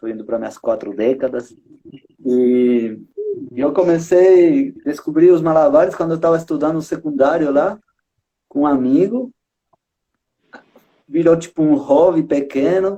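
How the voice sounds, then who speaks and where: Pausing long and often, a man with a Uruguayan accent and a fairly high pitch speaks at a fairly slow pace in a dark, mellow tone with ordinary pitch variation. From Uruguay, Montevideo. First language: Spanish (speaking Portuguese). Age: 30s. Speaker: street circus artist, juggler. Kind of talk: casual chat. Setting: live stream.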